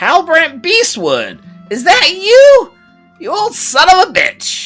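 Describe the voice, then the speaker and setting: Someone delivers a put-on character voice at a fairly slow pace, with faint music in the background. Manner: gruff.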